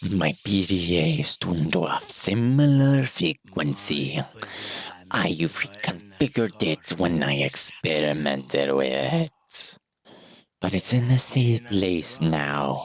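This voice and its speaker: In a put-on character voice, a man speaks very deep and low, with very wide pitch swings. His pace is fairly slow, and hissing runs through the clip. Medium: game stream. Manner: hissing, cryptic, condescending.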